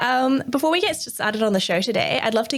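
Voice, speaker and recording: A woman speaks at high pitch. She has an Australian accent. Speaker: podcast host. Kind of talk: podcast interview.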